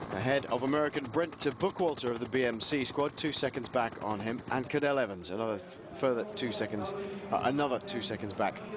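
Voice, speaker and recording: With lively intonation and a medium pitch, a man talks fairly quickly while noticeable background noise runs beneath him. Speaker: cycling commentator. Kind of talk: live commentary. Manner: subdued.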